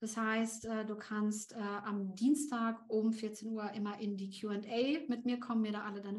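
There is audible room echo as a woman speaks fairly slowly in a somewhat breathy, fairly high voice. Her intonation stays fairly even. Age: 30s. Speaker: LinkedIn coach and founder. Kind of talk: podcast interview.

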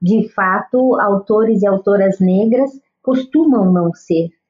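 A woman, fairly high-pitched and somewhat breathy, at a very slow pace. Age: 50s. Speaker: children's author and educator. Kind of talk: interview.

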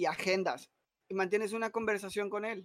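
This man speaks with a Mexican accent, and the sound is dry and close with no echo. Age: 20s. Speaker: content creator. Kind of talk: casual chat.

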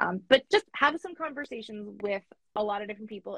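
Fairly quick and somewhat breathy, this voice has lively intonation and a Canadian accent. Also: woman. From Canada. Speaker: money coach. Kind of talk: interview. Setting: online call.

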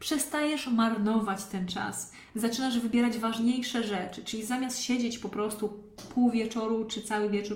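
Over noticeable background noise and audible room echo, a woman with a fairly high pitch talks at a moderate pace. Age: 30s. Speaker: online fitness coach. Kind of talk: live-streamed podcast monologue. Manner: casual.

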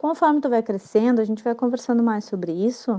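With a quiet background, a woman talks in an ordinary speaking voice, fairly high in pitch, with lively intonation. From Rio Grande do Sul, Brazil. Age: 30s. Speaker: listener giving testimony. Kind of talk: recorded testimony.

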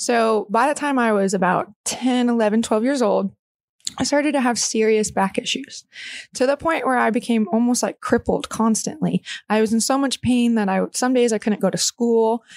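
Recorded dry and close with no echo, a woman with an American accent speaks at very even loudness, her fairly high pitch varying in an ordinary way, in an unremarkable speaking voice. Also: moderate pace. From Texas, small town near Austin. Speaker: pro obstacle racer and tattoo artist. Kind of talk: casual interview chat.

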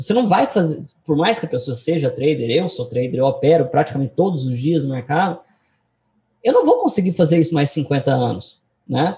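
A man with an ordinary speaking voice talks at a moderate pace. His pitch is fairly high, and his intonation is lively. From Goiás, Brazil (Goiânia). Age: 20s. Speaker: day trader and trading educator. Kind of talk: interview. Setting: video call.

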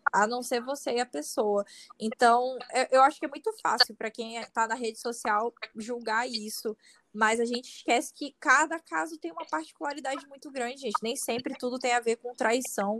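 At a moderate pace, a woman talks in a high voice with ordinary pitch variation and big swings in loudness. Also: dry, close sound with no echo. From Manaus, Amazonas, Brazil. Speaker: content creator. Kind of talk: casual interview.

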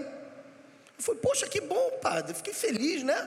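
Audible room echo and noticeable background noise surround a man speaking at a fairly quick pace. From Rio de Janeiro, Brazil. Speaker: pastor. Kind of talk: sermon.

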